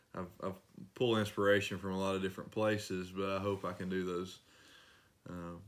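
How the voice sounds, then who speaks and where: In an East Tennessee accent, a man speaks in a very deep, low voice with monotone, flat intonation. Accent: East Tennessee Appalachian. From Northeast Tennessee, Rogersville. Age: 30s. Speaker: singer-songwriter. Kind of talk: interview.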